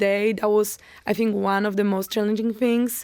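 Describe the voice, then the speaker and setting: A woman's dark, mellow voice at a medium pitch, fairly quick in pace, with monotone, flat intonation. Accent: Polish. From Poland, near Poznań. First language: Polish. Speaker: college tennis player. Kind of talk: podcast interview.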